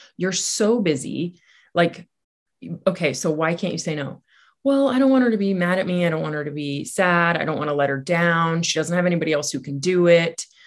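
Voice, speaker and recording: Over a quiet background, a woman with an ordinary speaking voice talks at a fairly quick pace, her pitch fairly low and her intonation lively. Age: 40s. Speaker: life coach. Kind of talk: interview.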